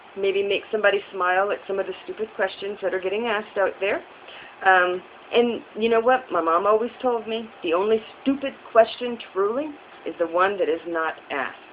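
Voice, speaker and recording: A woman talks at a medium pitch with ordinary pitch variation. Noticeable background noise runs underneath. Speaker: vlogger. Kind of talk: casual vlog monologue. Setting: recorded on a phone propped up. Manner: fast. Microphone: phone camera.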